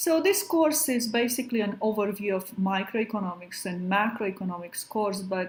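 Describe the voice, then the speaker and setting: A woman with a Romanian accent speaks at a moderate pace in a somewhat breathy voice with ordinary pitch variation and audible room echo. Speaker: professor. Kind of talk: lecture. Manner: hesitant, many fillers.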